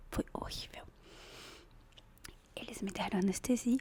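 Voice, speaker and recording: A woman whispering at a moderate pace. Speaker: ASMR creator. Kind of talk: ASMR gossip storytelling to camera. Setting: close microphone. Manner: soft-spoken.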